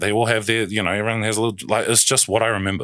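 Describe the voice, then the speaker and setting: Vocal fry marks this man's fairly low-pitched voice as he speaks at a very fast pace. The recording is very clean, with a silent background. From New Zealand, South Auckland. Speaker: basketball club founder. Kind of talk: casual chat. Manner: animated.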